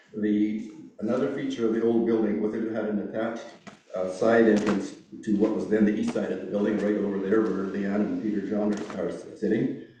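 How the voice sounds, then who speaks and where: A man speaks at a fairly quick pace in a fairly low pitch, his intonation flat and monotone, with audible room echo. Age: 70s. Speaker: church elder. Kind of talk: reminiscence speech. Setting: church service with audience. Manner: halting, many fillers.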